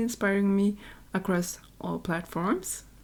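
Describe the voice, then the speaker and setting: This is a woman speaking. She has a Norwegian accent. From Norway. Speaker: YouTuber, game builder. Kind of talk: Q&A voiceover over gameplay. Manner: casual, conversational.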